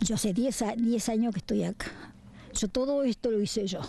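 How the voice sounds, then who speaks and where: Her fairly high, somewhat breathy voice has ordinary pitch variation, and the woman is recorded dry with no echo over noticeable background noise. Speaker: robbery victim. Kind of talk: testimony. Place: garden. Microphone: handheld.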